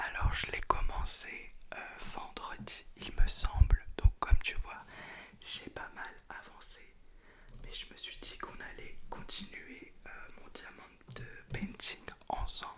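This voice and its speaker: Whispered speech moves at a very slow pace, with long, frequent pauses and big swings in loudness. There is noticeable background noise. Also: woman. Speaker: ASMR creator. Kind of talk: ASMR whispered talk while crafting. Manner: casual, chatty.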